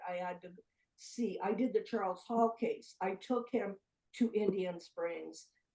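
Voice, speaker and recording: A woman speaks in a dark, mellow tone with ordinary pitch variation. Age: 70s. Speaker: UFO investigative journalist. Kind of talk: interview.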